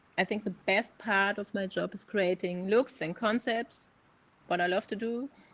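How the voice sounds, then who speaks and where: Speaking with a German accent, a woman uses a medium pitch and fairly even intonation at a moderate pace. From Germany. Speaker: AI artist, advertising creative. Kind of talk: interview. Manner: halting.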